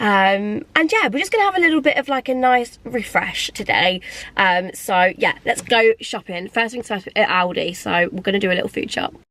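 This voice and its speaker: A woman with a fairly high pitch and lively intonation talks at a moderate pace with hardly any pauses amid noticeable background noise. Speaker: lifestyle vlogger. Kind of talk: casual vlog talk to camera.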